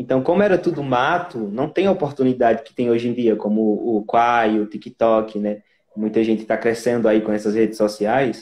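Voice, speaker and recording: This man speaks at a medium pitch with a northeastern Brazilian accent and ordinary pitch variation. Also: moderate pace. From Brazil, Northeast (Pernambuco). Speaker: singer and actor. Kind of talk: interview. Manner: halting.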